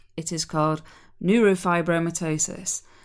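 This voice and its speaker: Recorded very cleanly against a silent background, a woman uses a normal speaking voice with a fairly low pitch, a fairly quick pace and fairly even intonation. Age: 30s. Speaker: podcast host. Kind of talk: monologue.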